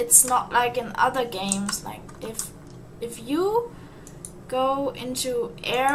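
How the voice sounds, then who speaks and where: A woman speaks with a non-native accent. Noticeable background noise and audible room echo surround her voice. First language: not English. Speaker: gaming YouTuber. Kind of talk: gameplay commentary. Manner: halting, repeats words.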